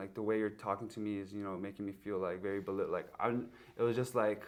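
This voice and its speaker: A man speaks with an American accent at a fairly low pitch. His fairly quick delivery has monotone, flat intonation. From USA. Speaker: podcast host. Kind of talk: casual chat. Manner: informal, filler-heavy.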